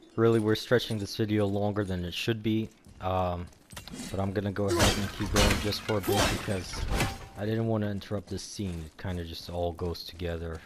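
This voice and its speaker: A man at a fairly low pitch and moderate pace, with fairly even intonation, over noticeable background noise. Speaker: gaming let's-play commentator. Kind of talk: gameplay commentary. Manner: monotone.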